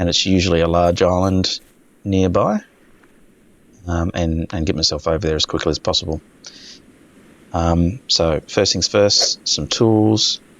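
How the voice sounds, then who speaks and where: A man with an Australian accent, very deep and low in pitch, at a fairly slow pace, with fairly even intonation and long, frequent pauses. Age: old. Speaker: gaming video creator. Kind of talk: casual gameplay commentary. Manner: hesitant, many fillers; laid-back. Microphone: basic home setup, possible audio issues.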